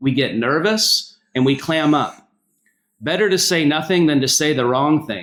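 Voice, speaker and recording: Over a silent background in a very clean recording, a man with a Southern US accent talks fairly slowly in a fairly high pitch with lively intonation. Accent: Southern US accent, noticeable. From US South, North Carolina. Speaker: pastor. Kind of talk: public speech.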